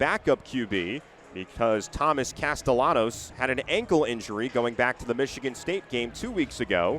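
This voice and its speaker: A man speaks at a moderate pace with very wide pitch swings, with noticeable background noise behind him. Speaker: sports play-by-play announcer. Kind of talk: radio football play-by-play.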